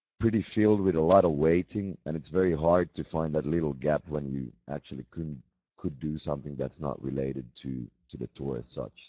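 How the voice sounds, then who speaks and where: A man with a Swedish accent and a very deep, low pitch speaks with ordinary pitch variation. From Finland. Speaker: metal band musician. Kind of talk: casual chat. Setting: video call.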